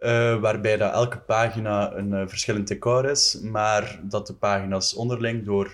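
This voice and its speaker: Against a quiet background, a man with an ordinary speaking voice speaks fairly slowly at medium pitch. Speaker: visual artist. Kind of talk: casual chat.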